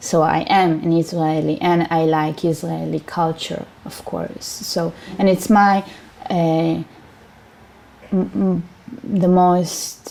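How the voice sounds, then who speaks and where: A woman's fairly low voice at a very slow pace, with ordinary pitch variation and long, frequent pauses. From Siberia, Russia. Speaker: interviewee. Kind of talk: interview. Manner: halting.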